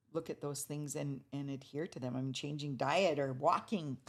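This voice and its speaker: The speaker talks with an American accent. The pace is moderate. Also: woman. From Fort Berthold Reservation, North Dakota, US. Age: 70s. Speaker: artist and culture bearer. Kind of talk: interview conversation. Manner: hesitant, many fillers.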